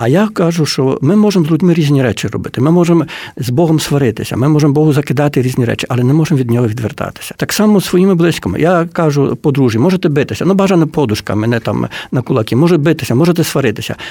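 Over noticeable background noise, a man with a fairly high pitch talks very fast, his intonation lively and his loudness very even. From Poland (Ukrainian community, Lemko roots). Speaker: book publisher. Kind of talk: radio interview.

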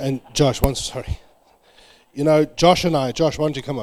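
A man speaks at a very fast pace. He has a South African accent. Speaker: preacher. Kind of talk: sermon. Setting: church.

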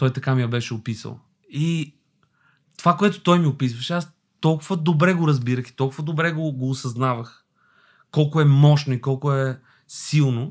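In an Albanian accent, the speaker talks at a moderate pace with ordinary pitch variation and big swings in loudness, on a very clean recording with a silent background. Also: man, fairly high pitch for a man. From Albania, moved to Bulgaria at 10. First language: Albanian (speaking Bulgarian). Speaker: actor. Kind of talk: casual chat.

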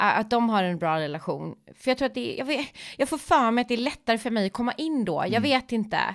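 A woman talks at a fairly quick pace with a fairly high pitch. Her voice has very wide pitch swings. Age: 40s. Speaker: podcast host. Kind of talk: casual chat.

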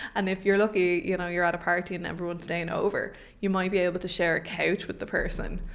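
Over noticeable background noise, a woman with an Irish accent talks very fast in a medium pitch with flat, monotone intonation. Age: 20s. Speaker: podcast co-host. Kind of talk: casual chat. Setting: home studio.

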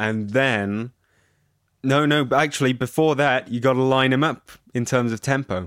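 Here is a man with an ordinary speaking voice. He speaks at a moderate pace and a medium pitch. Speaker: podcast host. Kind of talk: casual banter, comedic chat. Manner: deadpan, dry.

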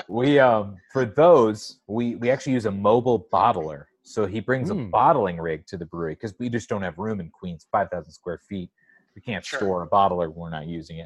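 A man with an American accent and a normal speaking voice, fairly low-pitched, with lively intonation, big swings in loudness, a fairly quick pace and hardly any pauses. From San Diego, California. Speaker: brewery representative. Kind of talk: casual chat.

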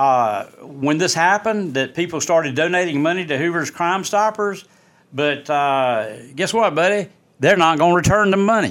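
At a moderate pace, a man with an Alabama accent talks in a high voice with lively intonation. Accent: US Southern, Alabama. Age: 60s. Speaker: local news podcaster. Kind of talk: opinion monologue.

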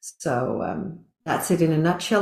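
A woman speaks in a very deep, low pitch with a somewhat breathy quality. Her pitch varies an ordinary amount. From Netherlands and Asia, British and Dutch parents. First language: Dutch and English (bilingual). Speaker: compassion coach and trainer. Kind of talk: casual interview chat.

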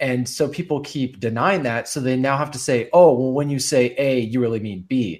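A man with an unremarkable speaking voice, medium pitch and ordinary pitch variation, at a moderate pace with hardly any pauses. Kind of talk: casual chat.

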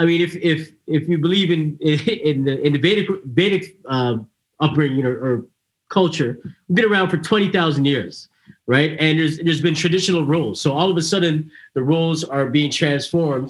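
A man's plain, everyday voice with a Canadian accent, fairly high in pitch, at a moderate pace with ordinary pitch variation and very even loudness. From Canada. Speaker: podcast host. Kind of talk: casual chat.

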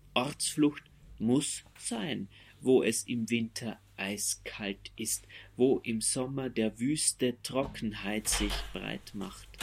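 A man talks very slowly at a medium pitch with ordinary pitch variation. Vocal fry runs through his voice. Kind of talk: poet reading a poem aloud over a soundscape. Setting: binaural recording with soundscape. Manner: slow, deliberate, measured pace with long pauses between lines.

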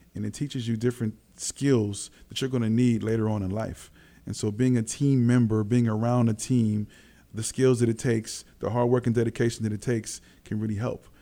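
Speaking at a fairly quick pace, a man with a medium pitch and a dark, mellow tone keeps a monotone, flat intonation. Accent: American. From Los Angeles, US. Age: 40s. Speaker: former basketball player and trainer. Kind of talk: casual interview. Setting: studio.

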